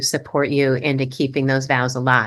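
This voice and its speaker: At a moderate pace, a woman speaks against a quiet background. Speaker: relationship coach. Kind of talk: online masterclass presentation. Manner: loud; animated.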